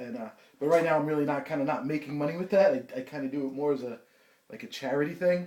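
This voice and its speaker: A man with a New Jersey accent speaks very fast, his fairly high pitch moving with ordinary variation. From New Jersey, Bayonne. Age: 30s. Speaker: interviewee. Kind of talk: interview. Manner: halting.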